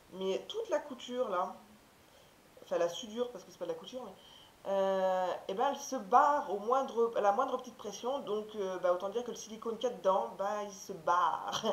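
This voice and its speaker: Speaking at a moderate pace with ordinary pitch variation, this voice comes through over noticeable background noise. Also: woman. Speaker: haul video creator. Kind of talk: casual talk to camera.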